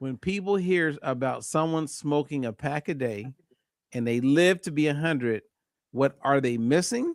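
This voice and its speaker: An ordinary speaking voice comes from a man with fairly high pitch, ordinary pitch variation and a moderate pace, recorded very cleanly against a silent background in a dry, close sound with no echo. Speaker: clinical nutritionist. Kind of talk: health talk show discussion.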